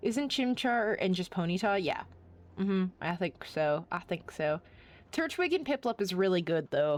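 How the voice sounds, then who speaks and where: A woman's voice at a medium pitch, with very wide pitch swings, on a very clean recording with a silent background. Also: moderate pace. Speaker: gaming streamer. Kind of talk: casual live stream chat. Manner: casual, halting.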